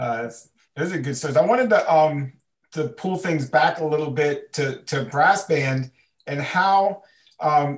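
Here is a man with an unremarkable speaking voice and a fairly high pitch. He talks at a fairly slow pace, and his pitch varies in an ordinary way. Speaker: podcast co-host, band leader. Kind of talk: casual chat. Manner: repetitive fillers.

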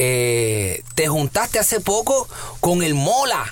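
With lively intonation, a man talks over noticeable background noise. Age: 30s. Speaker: radio host. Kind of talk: interview.

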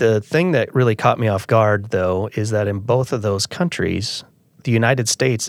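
The sound is dry and close with no echo as a man with a Midwestern American accent speaks at a fairly low pitch. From Iowa, US Midwest. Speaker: farmer and farm organization president. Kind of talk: interview.

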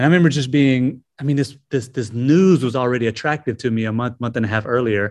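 A man rattles on at a very fast pace with hardly any pauses, using a medium pitch and ordinary pitch variation over a quiet background. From US South, South Carolina (Greenville). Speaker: missionary, former prisoner. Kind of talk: testimony.

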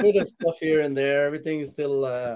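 Talking at a fast pace, this man has a fairly high pitch, ordinary pitch variation and a slightly mellow tone.

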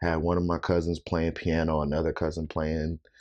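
In an American accent, a man speaks at a very deep, low pitch and moderate pace with monotone, flat intonation, against a quiet background. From Rock Island, Illinois, US Midwest. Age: 30s. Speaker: drummer and producer. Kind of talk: casual chat.

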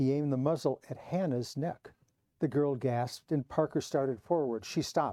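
Plain reading aloud takes place over a quiet background.

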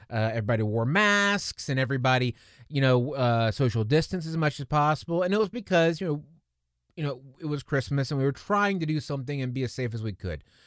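A man speaks at a very fast pace with lively intonation, on a very clean recording with a silent background. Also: fairly high pitch for a man. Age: 40s. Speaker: podcast host. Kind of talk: casual solo podcast monologue. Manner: conversational, with frequent fillers and restarts.

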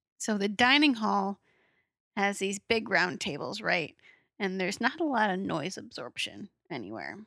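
A woman at medium pitch speaks with a bright, sharp tone and vocal fry, captured in a dry, close sound with no echo. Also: moderate pace, very clean recording, silent background. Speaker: podcast host. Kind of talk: casual chat.

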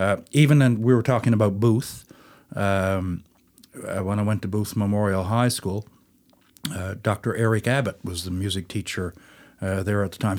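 A man's plain, everyday voice, fairly low in pitch with ordinary pitch variation, at a moderate pace on a very clean recording with a silent background. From St. John's, Newfoundland, Canada. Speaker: folk musician, fiddler. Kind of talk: casual interview chat.

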